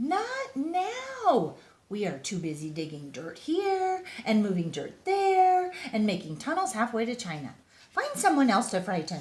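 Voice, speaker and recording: A woman uses a put-on character voice with a high pitch. Her pitch swings very widely at a moderate pace. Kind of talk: bedtime story. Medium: read story. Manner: hushed, brisk.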